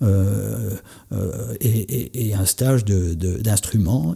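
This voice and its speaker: A man's dark, mellow, somewhat breathy voice with ordinary pitch variation. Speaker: entrepreneur and coach. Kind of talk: podcast conversation. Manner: halting, many hesitations.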